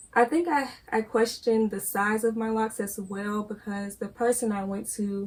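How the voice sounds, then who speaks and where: Fairly slow and somewhat breathy, a woman speaks at a fairly high pitch with fairly even intonation. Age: young. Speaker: college student, granddaughter of the host. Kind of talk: interview.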